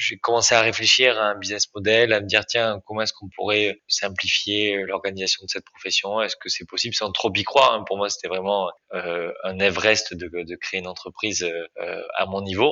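A man with an unremarkable speaking voice, fairly low in pitch, at a moderate pace with fairly even intonation. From Dordogne, southwestern France. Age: 20s. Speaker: startup founder. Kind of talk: interview.

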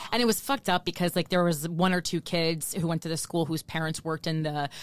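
A woman with an American accent talks over a silent background on a very clean recording. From New Jersey. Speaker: stand-up comedian and podcast co-host. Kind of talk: casual conversational interview. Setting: recording studio.

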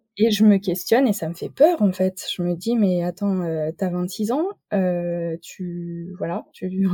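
A woman speaks at a medium pitch with ordinary pitch variation and a dark, mellow tone. Her voice is somewhat breathy, with a dry, close sound and no echo. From rural France. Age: 30s. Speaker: naturopath and entrepreneur. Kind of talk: interview. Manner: hesitant, many fillers.

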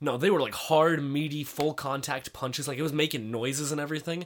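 A man with a fairly high pitch at a fairly quick pace, an ordinary speaking voice. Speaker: podcast co-host. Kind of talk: casual chat.

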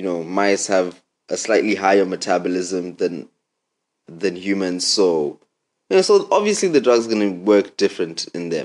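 Using an ordinary speaking voice, a man speaks at a moderate pace and a fairly low pitch with ordinary pitch variation. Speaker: podcast host. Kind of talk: casual chat.

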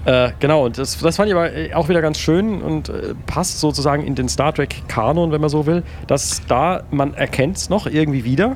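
Over noticeable background noise, a man with a fairly high pitch and ordinary pitch variation talks at a moderate pace. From Palatinate, Germany. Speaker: podcast co-host. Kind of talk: casual chat.

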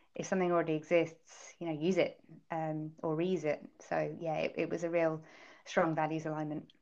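A woman with a British accent talks at a moderate pace in a fairly low pitch. Her intonation is monotone and flat, and the background is quiet. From UK. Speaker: startup founder. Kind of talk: interview. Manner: halting, filler-heavy.

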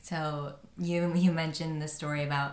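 With audible room echo, a woman speaks in a very deep, low pitch and monotone, flat intonation. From New Jersey. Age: 20s. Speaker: podcast host. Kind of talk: casual chat.

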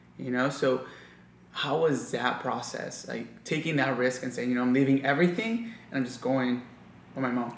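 A man speaks at a moderate pace with an American accent and fairly even intonation. Noticeable background noise runs under his voice. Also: medium pitch for a man. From US. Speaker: podcast host. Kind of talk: casual interview. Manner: casual.

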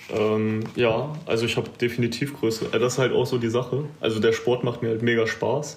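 A man's medium-pitched voice at a moderate pace, with fairly even intonation and very even loudness, audible room echo and noticeable background noise. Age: 20s. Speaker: bodybuilding competitor. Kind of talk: casual interview.

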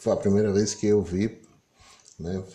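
His tone dark and mellow, a man speaks with fairly low pitch in a monotone, flat intonation. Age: 50s. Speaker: political commentator. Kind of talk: solo commentary monologue.

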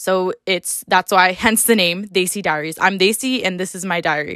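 On a very clean recording with a silent background, a woman with an American accent speaks at medium pitch in a bright, sharp tone with fairly even intonation. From upstate New York. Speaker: podcast host. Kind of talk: casual solo monologue.

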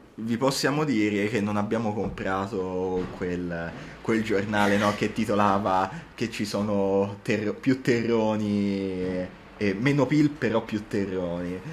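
A man's fairly low voice at a very slow pace, with ordinary pitch variation and audible room echo. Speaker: university student podcast co-host. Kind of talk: casual chat. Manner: animated.

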